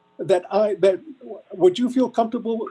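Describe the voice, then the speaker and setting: Moderate pacing in a man's dark, mellow tone. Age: 70s. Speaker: school board member. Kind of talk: board meeting debate. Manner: animated.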